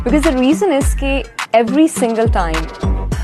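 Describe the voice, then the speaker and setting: A woman talks at a moderate pace over background music. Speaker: voice actor, voiceover artist. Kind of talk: casual interview answer about her voiceover career. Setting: interview.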